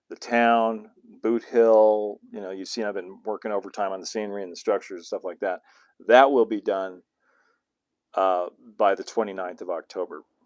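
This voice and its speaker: Delivered at a moderate pace with an American accent, the speech has fairly even intonation, long and frequent pauses, big swings in loudness, and a dry, close sound with no echo. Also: man, fairly low pitch for a man. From US West (southern California). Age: 60s. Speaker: model railroading YouTuber. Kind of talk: livestream Q&A, casual chat. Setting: home studio livestream. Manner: hesitant, many fillers and restarts.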